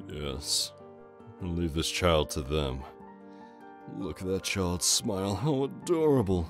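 Over clear background music, a man puts on a character voice with a very deep, low pitch and a fairly slow pace. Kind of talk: comic dub dialogue.

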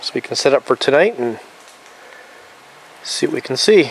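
A man speaks at a moderate pace in a dry sound with no echo, over light background noise. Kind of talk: casual vlog chat. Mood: relaxed, warm. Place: forest. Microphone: phone near.

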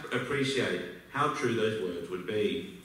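With an Australian accent, a man speaks at a moderate pace, his pitch swinging very widely amid strong room echo. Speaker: business school alumnus. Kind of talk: speech to an audience. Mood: warm, reflective. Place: hall.

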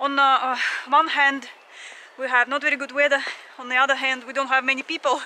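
At a fairly quick pace, a woman speaks high in pitch with a bright, sharp tone and little pitch movement.

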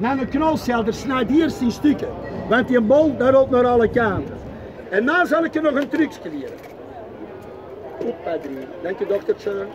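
A man with an Antwerp accent at an extremely high pitch, lively intonation, a moderate pace and long, frequent pauses, with crowd noise in the background. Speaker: market vendor. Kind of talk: market sales pitch. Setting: outdoors. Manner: lively, persuasive. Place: market. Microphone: camera far.

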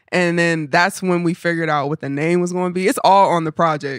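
The recording sounds dry and close, without any echo. A woman's speech comes at a fairly quick pace. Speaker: musician. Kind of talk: casual chat.

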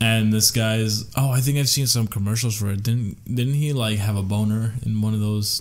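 With an ordinary speaking voice, a man talks at a fairly low pitch with very even loudness, fairly even intonation and hardly any pauses. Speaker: podcast co-host. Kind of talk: casual chat. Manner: rambling.

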